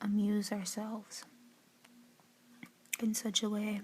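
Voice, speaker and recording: The speaker is soft-spoken, with noticeable background noise behind them. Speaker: student reading and analyzing poetry. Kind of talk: poetry reading with informal analysis, ASMR.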